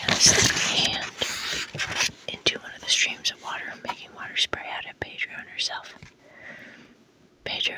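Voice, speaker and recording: Someone is whispering at a moderate pace. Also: woman. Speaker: ASMR artist and author reading her own book. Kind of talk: whispered audiobook-style reading. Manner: whispered, soft.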